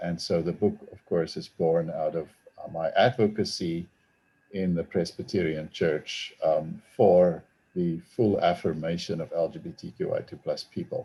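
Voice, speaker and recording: A man speaks in a South African accent at a moderate pace. His loudness swings a lot. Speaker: theology professor and author. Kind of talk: talk to an online audience. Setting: video call. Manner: hesitant, with fillers.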